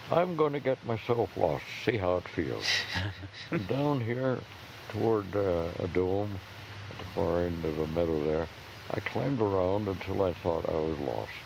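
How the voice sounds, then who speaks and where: A man speaks at a fairly slow pace with a very deep, low pitch. There are long, frequent pauses and noticeable background noise. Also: lively intonation. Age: 80s+. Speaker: park ranger. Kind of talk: outdoor ranger talk answering audience questions. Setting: outdoors.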